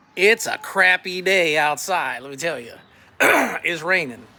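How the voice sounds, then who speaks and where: Against noticeable background noise, a man speaks at a fairly slow pace. His pitch is high and his intonation lively. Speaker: political candidate. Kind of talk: campaign message to camera. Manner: combative, blunt.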